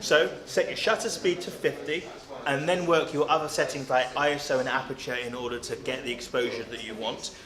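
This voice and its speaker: A man talks at a fairly quick pace in a fairly high pitch. Noticeable background noise runs underneath. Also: ordinary pitch variation. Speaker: videographer. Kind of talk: interview. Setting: on location with camera-mounted mic. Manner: loud.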